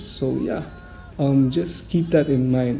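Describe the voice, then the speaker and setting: Noticeable background noise runs beneath a speaker with a non-native accent who talks at a fairly slow pace. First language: not English. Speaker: gaming YouTuber. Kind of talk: casual game guide talk. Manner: hesitant, many fillers.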